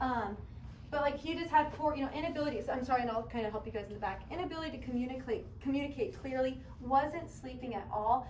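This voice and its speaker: Very fast and passionate, this voice uses ordinary pitch variation over audible room echo and noticeable background noise. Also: woman, high pitch for a woman. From Kentucky. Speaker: chiropractor. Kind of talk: public talk to audience.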